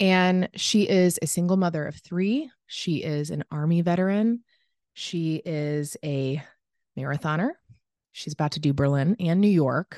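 Against a quiet background, a woman uses a plain, everyday voice at a fairly slow pace, fairly low in pitch with ordinary pitch variation and a dry, close sound with no echo. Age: 30s. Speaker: podcast host. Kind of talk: casual interview. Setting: remote call.

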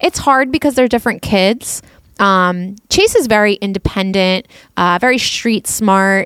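A woman with a plain, everyday voice, medium in pitch, at a fairly slow pace, in a very clean recording with a silent background and a dry, close sound with no echo. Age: 40s. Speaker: podcast co-host and parent. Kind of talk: casual chat.

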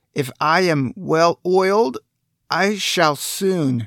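Speech comes at a very slow pace. The recording is very clean, with a silent background. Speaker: audiobook character actor voicing the Tin Woodman. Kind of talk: dramatic audiobook character performance. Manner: gently relieved and grateful when freed.

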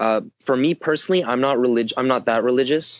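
This man has a plain, everyday voice and an American accent. He talks at a medium pitch and a fairly quick pace, with ordinary pitch variation. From Southern California. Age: 20s. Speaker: personal growth commentator. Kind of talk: casual interview chat.

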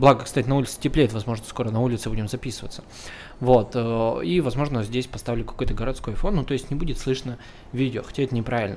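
Speaking very fast, a man uses a medium pitch and ordinary pitch variation. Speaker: solo podcaster. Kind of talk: casual monologue. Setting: home recording setup. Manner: rambling with fillers.

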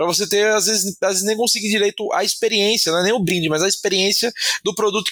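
This man speaks in a high pitch. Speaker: podcast co-host. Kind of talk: casual chat.

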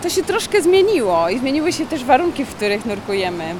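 A woman talking at a fairly quick pace with very wide pitch swings, over noticeable background noise. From Mazovia, Poland. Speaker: freediving instructor and record holder. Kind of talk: interview. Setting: deep diving pool facility.

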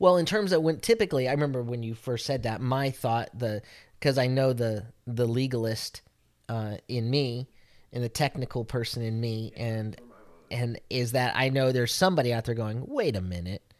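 In a very clean recording with a silent background, a man with a plain, everyday voice talks at medium pitch and a moderate pace, using ordinary pitch variation. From Italian-American heritage. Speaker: podcast co-host, messianic faith. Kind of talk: casual faith conversation.

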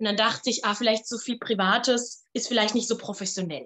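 This woman's voice sits fairly high in pitch. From Palatinate, Germany. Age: 30s. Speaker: opera singer and voice teacher. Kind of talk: casual interview.

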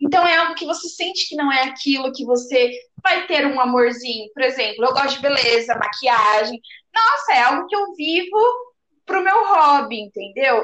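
Woman's high, bright, sharp voice with lively intonation at a moderate pace. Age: 20s. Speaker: podcast co-host. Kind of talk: casual chat.

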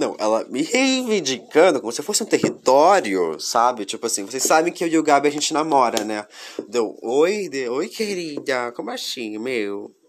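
A fairly high-pitched man's voice with very wide pitch swings and hardly any pauses, over noticeable background noise. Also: moderate pace. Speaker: podcast host. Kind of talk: casual solo monologue.

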